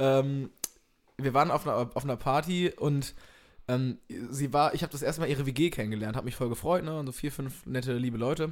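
An ordinary speaking voice from a man, fairly high in pitch, fairly quick, with fairly even intonation. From East Westphalia (Minden), Germany. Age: young. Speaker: comedian. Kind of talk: casual chat.

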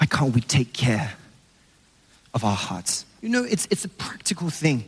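Very wide pitch swings from a man at a fairly slow pace. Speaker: evangelist preacher. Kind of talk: sermon. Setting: church with congregation. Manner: animated.

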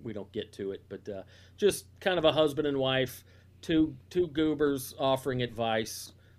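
A man with a Southern US accent, lively intonation, and a moderate pace. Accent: Southern US (Georgia). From US South, north Georgia. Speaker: comedian. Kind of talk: casual chat.

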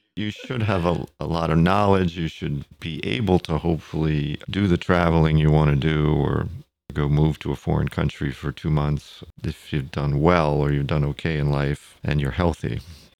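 A man talks at a moderate pace. His voice is very deep and low, with ordinary pitch variation. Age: 60s. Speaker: podcast guest. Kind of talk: casual interview.

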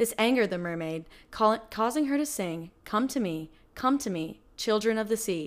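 At a moderate pace, a woman talks in an ordinary speaking voice with a fairly high pitch and lively intonation. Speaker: podcast storyteller. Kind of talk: spooky legend narration, true-crime horror style storytelling.

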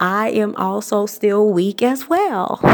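There is noticeable background noise. Through it, a woman speaks with an American accent. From US South, Atlanta, Georgia. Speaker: wardrobe stylist and podcast host. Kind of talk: solo tips podcast monologue. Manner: casual, many filler words.

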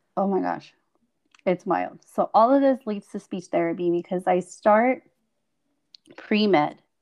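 The intonation is lively and the pace fairly slow. Long pauses come often. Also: woman, medium pitch for a woman, dry, close sound with no echo. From Mexico (Chihuahua), some childhood in California. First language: Spanish. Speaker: speech-language pathologist and podcast co-host. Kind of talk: casual interview telling life story.

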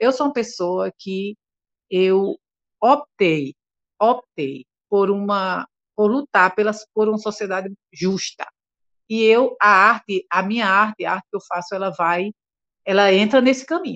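In a dry, close recording with no echo, a woman talks at a fairly slow pace and medium pitch, with ordinary pitch variation and long, frequent pauses. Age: 60s. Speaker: singer. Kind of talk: interview.

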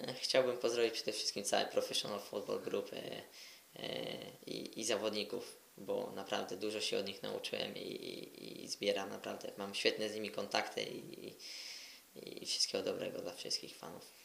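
A man talks at a moderate pace, and audible room echo follows his words. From Poland, Koszalin. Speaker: footballer. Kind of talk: interview.

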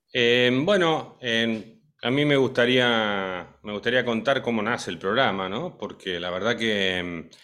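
Here a man has an unremarkable speaking voice at a medium pitch. He talks at a fairly slow pace with ordinary pitch variation. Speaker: radio show host, music school co-founder. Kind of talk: casual chat.

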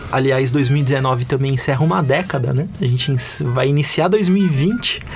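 Over background music, a man with a fairly high pitch and ordinary pitch variation speaks in a room with audible echo. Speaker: podcast host. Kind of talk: casual chat.

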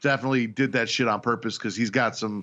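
Here is a man with a normal speaking voice, medium in pitch and fairly quick in pace. His pitch varies in an ordinary way against a quiet background. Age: 30s. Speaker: podcast host, wrestling fan. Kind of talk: casual chat.

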